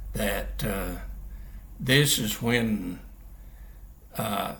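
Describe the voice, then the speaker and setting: In a room with audible echo, a man talks at a very slow pace with lively intonation and vocal fry. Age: 80s+. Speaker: Bible teacher. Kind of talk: religious teaching monologue. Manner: halting, many fillers.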